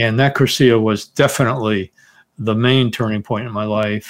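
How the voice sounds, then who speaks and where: Against a quiet background, a man with an American accent speaks at a fairly quick pace in a medium pitch and monotone, flat intonation. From US Northeast (Teaneck, New Jersey). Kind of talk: interview.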